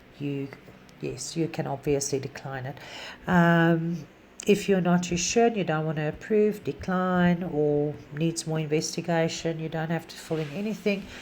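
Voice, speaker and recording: A woman's fairly low-pitched voice with a non-native accent, ordinary pitch variation, a moderate pace and big swings in loudness. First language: not English. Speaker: animal rescue volunteer. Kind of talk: tutorial. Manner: halting.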